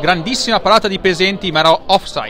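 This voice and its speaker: A man speaks with a dry sound and no echo. Light background noise is present. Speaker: football commentator. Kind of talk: live sports commentary of a match. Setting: stadium, commentating from the ground. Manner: fast, breathless, excitable play-by-play; rising intensity at goals and penalties. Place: stadium.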